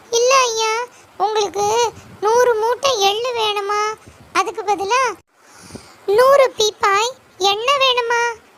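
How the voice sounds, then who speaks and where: A woman's put-on character voice at an extremely high pitch and a very slow pace. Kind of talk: children's story voice acting. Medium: read story. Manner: excitable.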